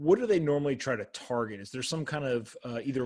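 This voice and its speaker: Here is a man with a plain, everyday voice. His pitch is fairly high, with ordinary variation. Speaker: podcast host. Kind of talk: podcast interview questions. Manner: upbeat.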